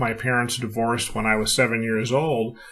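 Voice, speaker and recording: In an American accent, a man of medium pitch speaks with a bright, sharp tone. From California, US. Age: 60s. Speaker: retired executive and author. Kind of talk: podcast interview.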